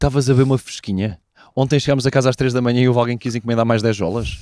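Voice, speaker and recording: A man with a European Portuguese accent speaks at a very fast pace in a dark, mellow tone, with a dry sound with no echo and a quiet background. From Portugal. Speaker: football podcast host. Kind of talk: casual chat. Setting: abroad in Cologne. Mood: joking, lively. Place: garden. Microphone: handheld.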